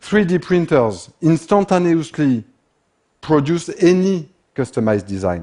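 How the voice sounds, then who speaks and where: Speaking with a French accent, a man uses a fairly high pitch, a dark, mellow tone and very wide pitch swings at a fairly slow pace against a quiet background. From France. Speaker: speaker on manufacturing and economics. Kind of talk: talk to an audience.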